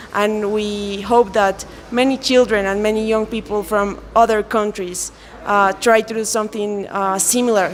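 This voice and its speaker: In a Colombian accent, a woman with a fairly high pitch speaks at a moderate pace in a monotone, flat intonation, with noticeable background noise. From Colombia, Andean region. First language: Spanish. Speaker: lawyer. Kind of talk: interview. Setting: event in Quito. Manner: halting, with many fillers.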